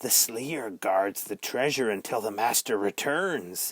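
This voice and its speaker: A man's medium-pitched, put-on character voice at a fairly slow pace, in a very clean recording with a silent background. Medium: read story. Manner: eerie, longing, archaic.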